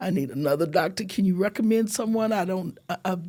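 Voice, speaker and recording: The voice is somewhat breathy with a dark, mellow tone, moving at a moderate pace on a very clean recording with a silent background. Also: woman. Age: 70s. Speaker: breast cancer survivor. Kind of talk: casual chat.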